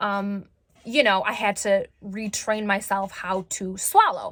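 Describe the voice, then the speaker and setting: A woman's loud voice with a bright, sharp tone. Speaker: vlogger sharing recovery story. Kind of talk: personal testimony vlog. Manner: halting, many fillers.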